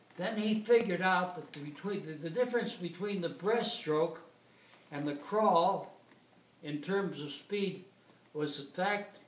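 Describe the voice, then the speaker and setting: Pitched high with ordinary pitch variation, a man talks at a fairly slow pace amid audible room echo and noticeable background noise. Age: 90s. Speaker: retired competitive swimmer. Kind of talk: informal lecture. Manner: halting.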